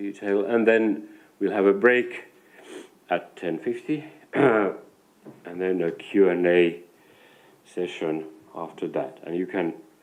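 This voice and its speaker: A man's fairly low voice at a very slow pace, with big swings in loudness. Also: ordinary pitch variation. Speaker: foundation funding director. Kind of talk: information session presentation. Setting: live event at foundation premises, streamed. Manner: halting, many fillers and repetitions.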